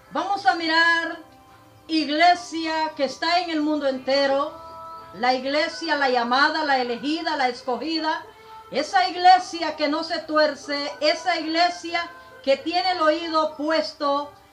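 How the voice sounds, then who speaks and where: A woman speaks at an extremely high pitch with ordinary pitch variation. Her pace is fairly slow, with music in the background. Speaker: preacher. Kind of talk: religious sermon denouncing a preacher.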